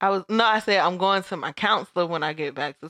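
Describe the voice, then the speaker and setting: Against a quiet background, a woman talks fairly quickly in a normal speaking voice at medium pitch, with a dry, close sound and no echo. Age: 30s. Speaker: podcast co-host. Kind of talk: casual chat.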